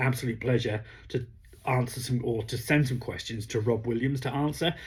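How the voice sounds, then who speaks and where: A man at a medium pitch, somewhat breathy, at a moderate pace. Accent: British. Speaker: comic book reviewer. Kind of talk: casual review vlog. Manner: hesitant, many fillers.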